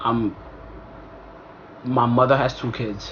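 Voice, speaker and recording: Noticeable background noise and audible room echo surround a man's voice. He speaks at medium pitch and a very slow pace. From Ivory Coast. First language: French. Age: 20s. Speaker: vlogger. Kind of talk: casual storytime vlog. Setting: talking to camera. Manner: casual, conversational with fillers.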